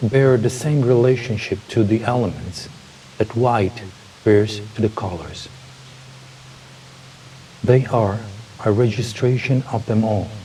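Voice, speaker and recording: A man's calm, medium-pitched voice at a fairly slow pace, with long, frequent pauses and noticeable background noise. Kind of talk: sleep-aid reading of a philosophical text. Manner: slow, calm.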